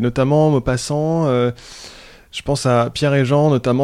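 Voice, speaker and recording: A man speaks at a moderate pace. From France and Sweden (bicultural). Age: 30s. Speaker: headhunter, podcast guest. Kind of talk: casual interview about reading. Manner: hesitant, many repetitions and fillers.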